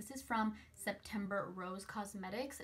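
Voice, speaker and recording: Noticeable noise in the background beneath fairly even intonation. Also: woman. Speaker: beauty youtuber. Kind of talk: product review. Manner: fast.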